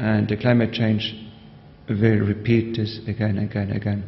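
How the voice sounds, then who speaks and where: A man with a fairly low pitch and a monotone, flat delivery at a fairly quick pace, with light background noise. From Austria. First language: German. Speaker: society member. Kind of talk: speech. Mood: warm, smiling. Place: hall. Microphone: podium.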